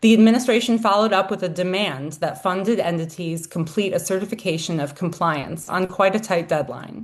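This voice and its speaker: At a fairly quick pace with hardly any pauses, a woman speaks at a medium pitch with ordinary pitch variation. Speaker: legal services coordinator at an education nonprofit. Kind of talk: webinar presentation. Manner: fast.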